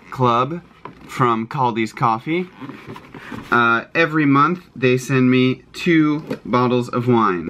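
A man at a very slow pace with ordinary pitch variation, light background noise behind him. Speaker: vlogger. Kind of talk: casual vlog chat. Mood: cheerful, excited. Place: home room. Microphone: phone near.

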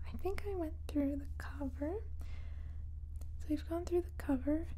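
A woman's voice over light background noise. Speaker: ASMR creator. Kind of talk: soft-spoken ASMR chat. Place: home room.

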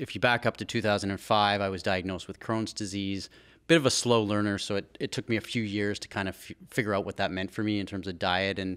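Against a quiet background, a man speaks fairly quickly in a fairly low pitch with fairly even intonation. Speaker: guest. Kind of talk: interview answer. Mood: reflective personal story. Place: studio. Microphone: studio mic.

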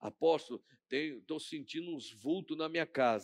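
A man is speaking. His pace is fairly slow. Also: quiet background. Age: 50s. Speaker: pastor. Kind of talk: sermon. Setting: church. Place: church. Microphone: headset.

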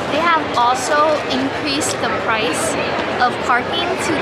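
A woman's voice over loud background noise. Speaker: convention artist vendor. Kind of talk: casual vlog chat. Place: hall. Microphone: phone near.

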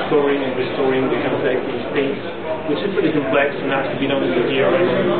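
A man's voice with ordinary pitch variation over loud background noise. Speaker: conference speaker. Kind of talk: technical talk. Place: hall. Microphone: camera far.

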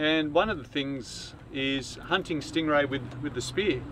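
There is vocal fry in this man's voice. The sound is dry with no echo, with light background noise. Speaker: sailing vlogger. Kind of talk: casual explanatory tutorial. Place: boat. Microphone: camera far.

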